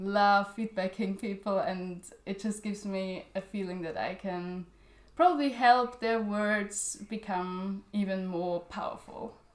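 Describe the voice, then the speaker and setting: A woman speaks at a fairly slow pace with medium pitch and fairly even intonation. Noticeable background noise runs underneath. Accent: German. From Austria. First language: German. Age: 20s. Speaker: literary journal editor. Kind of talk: interview. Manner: halting, many fillers.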